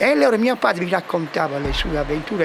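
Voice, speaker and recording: Music plays behind the speech. The man's pitch shifts by an ordinary amount. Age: 80s+. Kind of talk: street interview answer.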